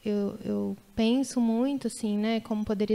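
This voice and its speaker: In a very clean recording with a silent background, a woman talks fairly slowly in a fairly high voice with a dark, mellow tone and fairly even intonation. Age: 30s. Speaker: mother sharing birth stories. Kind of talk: testimony.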